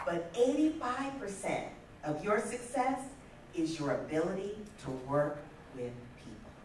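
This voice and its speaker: A woman at a medium pitch with very wide pitch swings, big swings in loudness, a very slow pace and long, frequent pauses, amid light background noise and audible room echo. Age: 50s. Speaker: motivational speaker. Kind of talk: keynote talk. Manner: animated. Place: hall.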